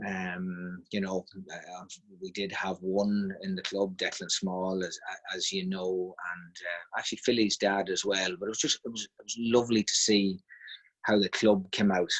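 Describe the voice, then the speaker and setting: A man's fairly low voice with a slight Monaghan accent, monotone, flat intonation, a moderate pace and big swings in loudness. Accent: trace of Monaghan. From Ireland, Monaghan town. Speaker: football team manager. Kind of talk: casual interview.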